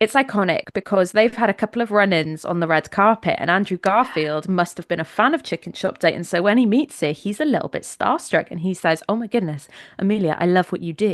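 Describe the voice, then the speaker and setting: In a Welsh accent, a woman talks at a fairly quick pace and medium pitch with lively intonation and hardly any pauses, the sound dry and close with no echo over a quiet background. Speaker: podcast co-host. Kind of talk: casual chat.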